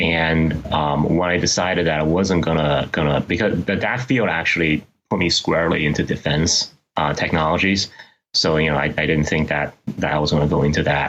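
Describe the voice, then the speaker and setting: A man with a Chinese accent, very deep and low in pitch, at a fairly quick pace, with fairly even intonation and very even loudness. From China. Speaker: investment manager. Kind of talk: interview. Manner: halting, many fillers.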